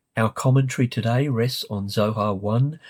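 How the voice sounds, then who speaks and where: A somewhat breathy male voice, dry and close with no echo, on a very clean recording with a silent background. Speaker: literature lecturer. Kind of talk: lecture.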